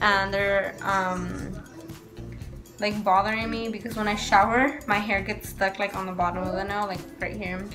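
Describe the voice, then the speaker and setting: Background music is clearly audible. Over it, a woman speaks at a moderate pace in a monotone, flat way. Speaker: mother vlogger. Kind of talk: casual vlog chat. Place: kitchen. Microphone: phone near.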